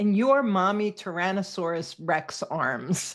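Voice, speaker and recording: At a fairly low pitch with ordinary pitch variation, a woman speaks against a quiet background in a plain, everyday voice. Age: 60s. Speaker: podcast host. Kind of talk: interview.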